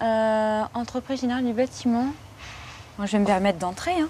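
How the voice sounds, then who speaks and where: A woman's high-pitched voice carries a dark, mellow tone. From France, Dordogne. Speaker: job seeker, young graduate. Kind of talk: documentary interview, casual. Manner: hesitant, many fillers.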